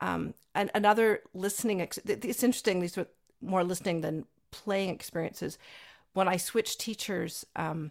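A woman speaks in a plain, everyday voice at a fairly quick pace. Her pitch is fairly low, with ordinary variation. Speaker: podcast host and violinist. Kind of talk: casual interview conversation.

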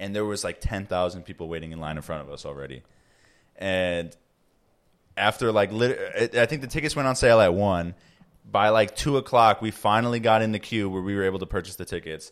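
A man with an American accent talks in a normal speaking voice at fairly low pitch, with lively intonation, a fairly quick pace and big swings in loudness, on a very clean recording with a silent background. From Chicago, Illinois. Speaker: podcast co-host. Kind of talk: casual chat. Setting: home recording.

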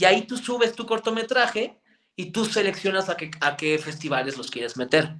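This man's high voice has a bright, sharp tone, with very wide pitch swings and big shifts in loudness at a moderate pace. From Mexico, Toluca. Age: 20s. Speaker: actor, filmmaker and content creator. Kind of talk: casual interview.

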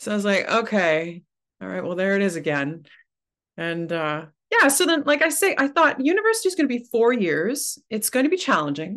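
A woman speaks with a Canadian accent at a fairly quick pace. Her fairly high pitch makes very wide swings. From Ontario, Canada (Oshawa). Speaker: opera singer. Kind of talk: casual chat.

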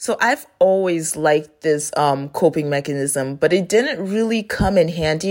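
Over a very clean recording with a silent background, a woman speaks at a moderate pace with lively intonation. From Florida, US (born in Haiti, moved at six). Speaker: podcast host. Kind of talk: casual solo monologue.

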